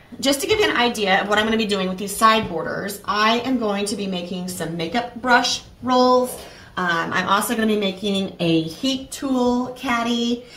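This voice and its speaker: Over light background noise with audible room echo, a woman talks at a moderate pace with ordinary pitch variation and hardly any pauses. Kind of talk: tutorial. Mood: calm, reassuring. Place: home room.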